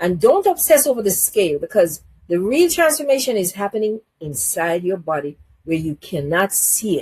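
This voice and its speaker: A somewhat breathy woman talks at a moderate pace. Her pitch swings very widely. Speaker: health channel host. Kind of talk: health advice talk to camera.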